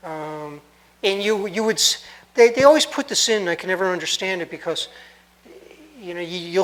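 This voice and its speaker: Noticeable background noise sits behind a man speaking fairly quickly. His voice is high-pitched, with ordinary pitch variation. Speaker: radio communications instructor. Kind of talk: lecture.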